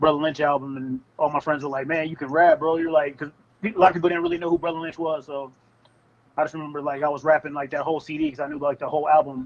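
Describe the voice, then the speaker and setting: In a fairly high pitch, a man speaks very fast with monotone, flat intonation. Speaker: rapper. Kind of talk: interview.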